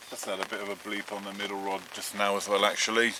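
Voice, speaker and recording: Noticeable background noise fills the clip. A man talks in a fairly low pitch. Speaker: fishing vlogger. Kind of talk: vlog narration. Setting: outdoors.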